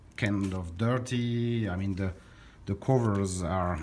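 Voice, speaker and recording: A man with a French accent speaking very slowly, his intonation fairly even. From France. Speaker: record collector. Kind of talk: casual vlog. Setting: hotel room. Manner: halting, many fillers.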